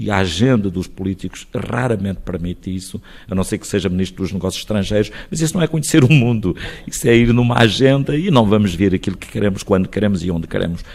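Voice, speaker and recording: Over noticeable background noise, a man talks at a very fast pace with lively intonation and a fairly low pitch. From Portugal, Alto Alentejo (Crato area). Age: 60s. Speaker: mayor and lawyer. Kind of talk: radio interview. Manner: hesitant with repetitions.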